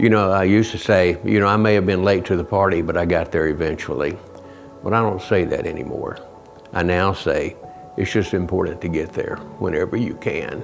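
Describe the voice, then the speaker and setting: Over music in the background and audible room echo, a man with a very deep, low voice speaks at a fairly quick pace with fairly even intonation. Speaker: church member giving testimony. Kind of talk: testimony.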